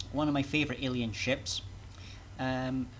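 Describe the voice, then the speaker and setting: The speaker has a Scottish accent and keeps a moderate pace. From Scotland. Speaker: VTuber game streamer. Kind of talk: live gameplay commentary. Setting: live stream at home PC. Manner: casual, hesitant with fillers.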